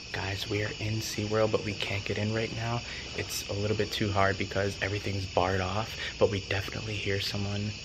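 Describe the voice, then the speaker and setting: Loud background noise surrounds a man who talks at a fairly quick pace. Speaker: vlogger. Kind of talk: casual vlog chat. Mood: disappointed, hushed. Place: street. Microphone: phone near.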